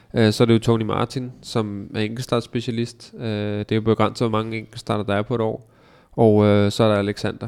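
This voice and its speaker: On a very clean recording with a silent background, a man speaks at medium pitch and a moderate pace, his intonation monotone and flat. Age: 30s. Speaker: professional cyclist. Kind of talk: interview. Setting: studio. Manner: hesitant, many filler sounds.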